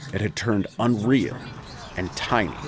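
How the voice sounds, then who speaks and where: Noticeable background noise sits behind a man who speaks fairly slowly at a fairly low pitch. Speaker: audiobook narrator. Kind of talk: classic horror story reading.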